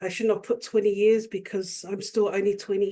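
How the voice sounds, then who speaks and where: A woman with a New Zealand accent speaks in a dark, mellow tone with monotone, flat intonation. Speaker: youth worker and nonprofit director. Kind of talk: webinar presentation.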